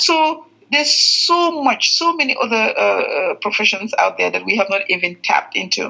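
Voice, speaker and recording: A woman with a Gambian accent at a moderate pace, very even in loudness, over noticeable background noise. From The Gambia. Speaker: veterinarian. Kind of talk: podcast interview. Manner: hesitant, many fillers.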